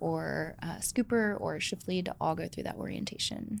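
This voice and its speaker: A woman talks at a fairly quick pace in an unremarkable speaking voice. Her pitch is fairly low. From Georgia, US South. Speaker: ice cream company founder and CEO. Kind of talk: interview conversation.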